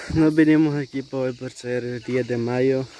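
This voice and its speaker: Over light background noise, a woman speaks with a very deep, low pitch and monotone, flat intonation, in a dry sound with no echo. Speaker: vlogger. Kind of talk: casual vlog chat. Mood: cheerful, slightly somber topic. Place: open country.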